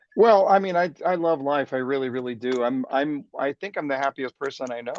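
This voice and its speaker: Recorded with a dry, close sound and no echo, a man speaks at a fairly high pitch. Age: 60s. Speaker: sales trainer and speaker. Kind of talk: interview. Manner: energetic.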